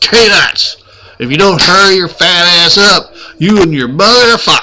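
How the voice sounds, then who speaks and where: Doing a gruff, put-on character voice, a man projects loudly at a high pitch, with ordinary pitch variation and a moderate pace. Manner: barking.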